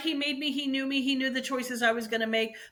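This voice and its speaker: The voice is raised and projected. Its tone is bright and sharp. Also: woman. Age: 60s. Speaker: bridal shop co-owner. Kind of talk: faith testimony interview. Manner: animated.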